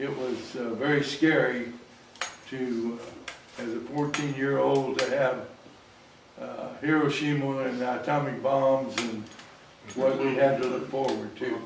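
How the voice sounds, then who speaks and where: A man with an American accent speaks at a fairly slow pace and medium pitch, in a monotone, flat intonation with long, frequent pauses. The recording has audible room echo and noticeable background noise. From US Midwest, Quincy, Illinois. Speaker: audience member. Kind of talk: audience comment. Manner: loud. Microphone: speaking without a microphone.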